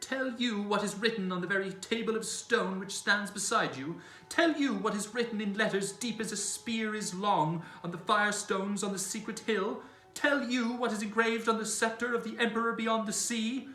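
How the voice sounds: A man puts on a shrill character voice, pitched high and delivered at a moderate pace. There is audible echo, and music plays in the background.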